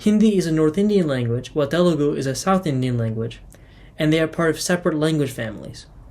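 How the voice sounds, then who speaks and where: A man with a plain, everyday voice, fairly high in pitch, moving at a fairly quick pace with ordinary pitch variation. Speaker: student. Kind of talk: student class presentation.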